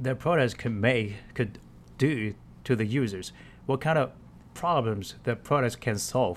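A man with a Chinese accent talks at a medium pitch with ordinary pitch variation in a very clean recording with a silent background. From China. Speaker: marketer. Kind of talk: solo podcast monologue. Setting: voice memo recording. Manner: halting, many fillers.

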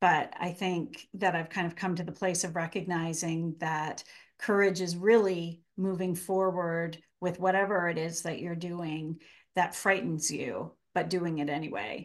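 A woman speaks in a plain, everyday voice, pitched fairly low. Her intonation is fairly even, her pace fairly slow, and the background quiet. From Canada. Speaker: author and writing professor. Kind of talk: interview conversation.

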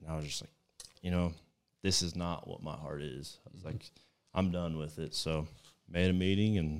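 Someone with a Texan accent talks at a moderate pace with fairly even intonation. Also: man. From Texas. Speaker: hunting guide. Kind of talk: casual chat. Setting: at a house over dinner.

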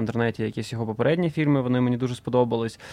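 At a very fast pace, a man speaks with medium pitch. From Donetsk, eastern Ukraine. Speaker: film director. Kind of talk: interview.

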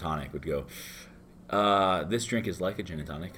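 The pace is fairly quick. A man speaks with ordinary pitch variation. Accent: American. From Florida, US. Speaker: bartender. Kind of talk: casual interview. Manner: casual, filler-heavy.

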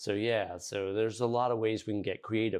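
An unremarkable speaking voice from a man with an American accent, fairly low in pitch, fairly quick, with ordinary pitch variation. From Virginia, Fairfax County. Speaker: podcast host. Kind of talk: interview.

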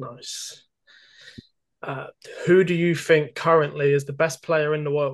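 A man talks at a fairly slow pace with long, frequent pauses, his fairly high voice monotone, flat and somewhat breathy, with big swings in loudness. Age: 30s. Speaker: podcast host. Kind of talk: interview.

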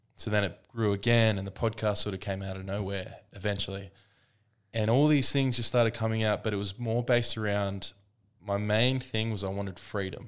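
An Australian accent with fairly even intonation, on a very clean recording with a silent background. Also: man, fairly low pitch for a man. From Australia, Queensland (Woodford). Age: 30s. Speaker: online wellness coach and podcaster. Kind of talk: casual chat.

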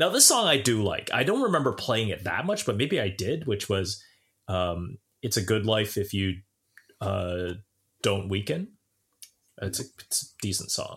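Over a very clean recording with a silent background, a man with a Southern Ontario accent speaks at a moderate pace in a fairly low pitch, with ordinary pitch variation and long, frequent pauses. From Southern Ontario, Canada (Brampton). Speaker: podcast co-host. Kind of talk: casual chat. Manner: stammering repetitions.

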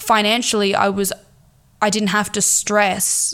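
A woman speaks at a fairly slow pace with an Australian accent. Her pitch is medium, and there is noticeable background noise. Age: 20s. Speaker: podcast host. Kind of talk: casual monologue. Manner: halting.

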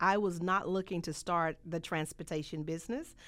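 A woman talks at a moderate pace in a Southern US accent. The recording is very clean, with a silent background. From US South, rural Mississippi. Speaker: trucking business owner. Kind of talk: interview.

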